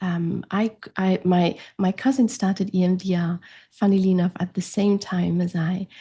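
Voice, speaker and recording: Speaking at a moderate pace with a German accent, a woman has a medium pitch and a dark, mellow, somewhat breathy tone against a quiet background. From France. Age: 40s. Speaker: grief coach. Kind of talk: interview conversation.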